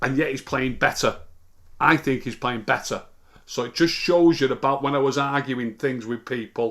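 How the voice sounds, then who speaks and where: Speaking with an English accent at a moderate pace, a man keeps a medium pitch and fairly even intonation in a very clean recording with a silent background. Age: 60s. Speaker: football pundit. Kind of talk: casual chat. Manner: halting.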